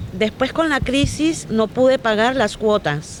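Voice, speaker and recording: A woman speaks at a fairly slow pace with a fairly high pitch and lively intonation. Noticeable background noise runs underneath. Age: 60s. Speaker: affected homeowner. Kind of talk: reading a prepared statement.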